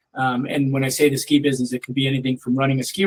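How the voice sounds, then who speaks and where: With an American accent, a man talks at a very fast pace in a medium pitch and a monotone, flat intonation. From Upstate New York (Lake Placid). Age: 60s. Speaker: business executive. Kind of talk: career talk to students. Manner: hesitant, many fillers and repeats.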